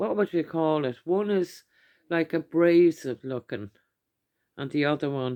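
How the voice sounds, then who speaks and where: In an Irish accent, the speaker talks at a fairly slow pace with ordinary pitch variation, the sound dry and close with no echo. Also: woman, quiet background. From Ireland. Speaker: YouTuber doing product hauls. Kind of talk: casual haul video talk. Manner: chatty, with many fillers.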